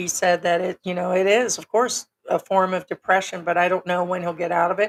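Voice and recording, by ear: A woman talks at a fairly low pitch with little pitch movement. The sound is dry and close, with no echo.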